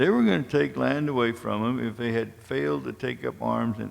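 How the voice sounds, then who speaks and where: The man's voice sits fairly low in pitch and moves in very wide pitch swings. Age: 70s. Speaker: war veteran and community speaker. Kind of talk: public lecture.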